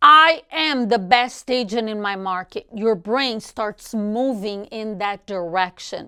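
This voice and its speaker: At a fairly slow pace, a woman with a Portuguese accent speaks in a fairly high, bright, sharp voice with lively intonation, in a very clean recording with a silent background. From Brazil. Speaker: real estate coach. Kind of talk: motivational talk.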